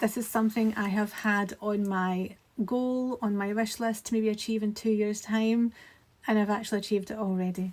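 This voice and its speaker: With a Scottish accent, a woman talks in a fairly high, somewhat breathy voice and a monotone, flat intonation. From Scotland. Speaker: graphic designer. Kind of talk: casual talk to camera.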